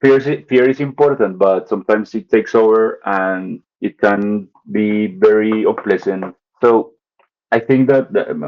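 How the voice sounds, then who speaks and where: A man with a Spanish accent speaks at a moderate pace with fairly even intonation. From Colombia, Bogota. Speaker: artist. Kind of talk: casual chat. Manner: halting.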